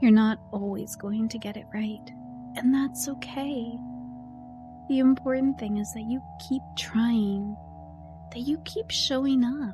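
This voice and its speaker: Soft-spoken and soothing in a gentle tone, a woman speaks fairly slowly with long, frequent pauses and big swings in loudness while music plays in the background. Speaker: voiceover artist / ASMR encouragement creator. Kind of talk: ASMR affirmation / comforting self-help talk. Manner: soft-spoken, soothing, gentle.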